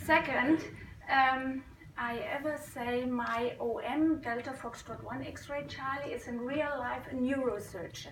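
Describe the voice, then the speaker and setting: With a non-native accent, a woman speaks at a high pitch with ordinary pitch variation, amid audible room echo and noticeable background noise. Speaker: amateur radio operator. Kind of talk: conference talk. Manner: halting.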